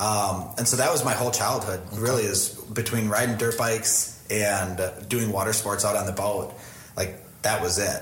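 With an American accent, the speaker keeps a moderate pace, fairly even intonation and very even loudness, heard through noticeable background noise and audible room echo. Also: man, fairly low pitch for a man. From Wisconsin, near Green Bay. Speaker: media company owner, videographer. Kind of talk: casual interview.

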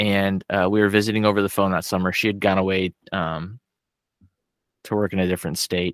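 A man with an ordinary speaking voice, fairly low in pitch, with fairly even intonation and a dry, close sound with no echo. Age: 40s. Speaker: podcast guest. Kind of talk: casual chat.

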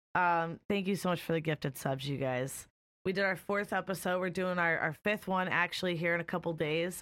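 In a very clean recording with a silent background, a woman with a normal speaking voice talks at a fairly quick pace, using fairly even intonation and a fairly low pitch. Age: 20s. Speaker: streamer and podcast host. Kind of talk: casual interview. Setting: live stream.

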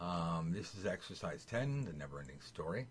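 A man speaks with very wide pitch swings in a somewhat breathy voice. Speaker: tarot teacher. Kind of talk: tutorial. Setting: video call. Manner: animated.

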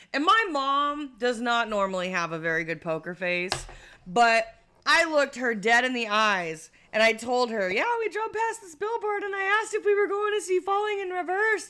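A woman's raised, projected voice, high-pitched with very wide pitch swings, in an American accent at a moderate pace. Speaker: podcast host. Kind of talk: casual chat.

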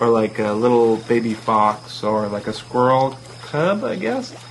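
A man at a fairly slow pace with ordinary pitch variation, against noticeable background noise. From Toronto, Ontario. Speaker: comedian playing a recluse character. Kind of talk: improvised comedy chat.

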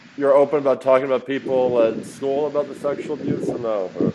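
A man talks with an American accent at a fairly high pitch. Noticeable background noise runs behind him. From Philadelphia, US. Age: 30s. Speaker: podcast interviewer. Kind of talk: casual interview. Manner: halting, many fillers.

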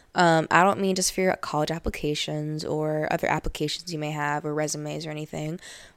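Very deep, low-pitched woman's voice on a very clean recording over a silent background. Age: young. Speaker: podcast host. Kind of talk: casual monologue. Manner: animated.

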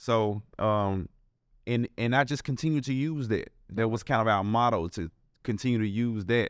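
Speaking with a Memphis accent at a moderate pace, a man of medium pitch uses ordinary pitch variation in a dry, close recording with no echo. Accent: Southern US, Memphis. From Memphis, Tennessee. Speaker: restaurant co-owner. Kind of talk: casual interview chat. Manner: hesitant with many fillers.

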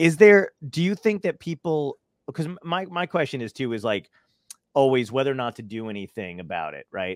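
With a New York accent, a man speaks with very wide pitch swings in a dry, close sound with no echo. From Brooklyn, New York. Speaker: podcast host. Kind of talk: casual interview. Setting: video call.

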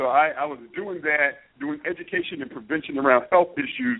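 Speaking with an American accent, the voice is an unremarkable speaking voice with ordinary pitch variation at a moderate pace. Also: man. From Philadelphia, US. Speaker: media executive. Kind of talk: interview.

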